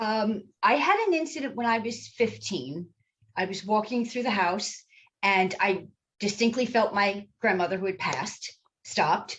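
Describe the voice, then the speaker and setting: Someone with an East Coast US accent speaks at a moderate pace with lively intonation. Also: woman, medium pitch for a woman. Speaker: psychic medium. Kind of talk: interview.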